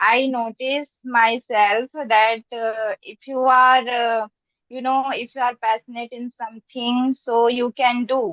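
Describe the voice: A woman speaks slowly at a fairly high pitch with little pitch movement, in a dry, close sound with no echo.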